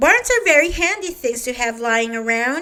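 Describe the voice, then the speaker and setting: A woman uses a put-on character voice at a high pitch. Her pace is moderate and her intonation lively. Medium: read story. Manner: calm, good-natured.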